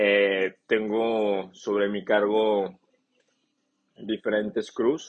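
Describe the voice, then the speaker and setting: At a very slow pace, a man talks with long, frequent pauses. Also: fairly low pitch for a man. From northern Mexico. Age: 20s. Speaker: podcast host and construction business owner. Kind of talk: casual monologue podcast. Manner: animated.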